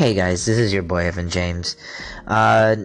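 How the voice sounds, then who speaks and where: A man in an American accent with ordinary pitch variation. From Los Angeles, California. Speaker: poet and online content creator. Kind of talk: casual vlog. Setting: at a restaurant. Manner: hesitant, many fillers.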